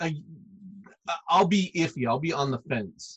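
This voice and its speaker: Speaking in an unremarkable speaking voice with an American accent, a man talks at a moderate pace in a fairly high pitch with ordinary pitch variation. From US South, Arkansas. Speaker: comics publisher and artist. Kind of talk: casual interview.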